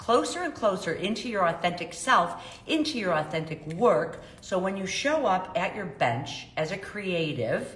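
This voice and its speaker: With a Chicago accent and a medium pitch, a woman speaks in very wide pitch swings over noticeable background noise and audible room echo. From US Midwest, South Side of Chicago. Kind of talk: live stream talk to viewers. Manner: casual, filler-heavy.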